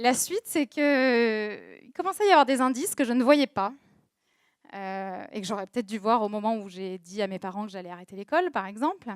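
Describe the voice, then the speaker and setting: This very clean recording, with a silent background and a dry, close sound with no echo, has a woman speaking at a moderate pace in a fairly high pitch, with lively intonation and big swings in loudness. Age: 30s. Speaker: social media agency owner, talk speaker. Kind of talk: personal testimony talk. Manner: hesitant, many fillers.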